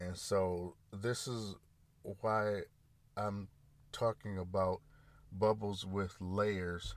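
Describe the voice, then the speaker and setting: A man speaks very slowly in an American accent, his pitch fairly low. His delivery is monotone and flat, broken by long, frequent pauses. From US Midwest, Grand Rapids, Michigan. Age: 40s. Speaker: podcast host. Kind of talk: solo monologue. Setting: in a parked car. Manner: casual, halting with fillers.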